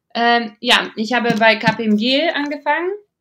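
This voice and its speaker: A woman with a slight non-native accent speaks with lively intonation. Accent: barely noticeable foreign accent in German. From Latvia, Riga. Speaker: venture capital investor. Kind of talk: interview. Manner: hesitant, many fillers.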